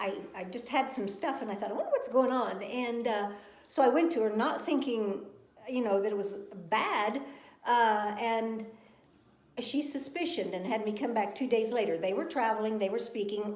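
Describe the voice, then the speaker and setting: Fairly high-pitched woman's voice with audible room echo and noticeable background noise. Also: ordinary pitch variation, moderate pace. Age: 70s. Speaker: cancer survivor. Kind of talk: testimony. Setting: live video stream.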